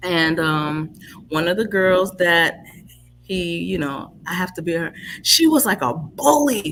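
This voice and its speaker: In a New York accent, a woman speaks at a fairly slow pace. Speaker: livestream talk show host. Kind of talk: casual conversation. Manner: conversational.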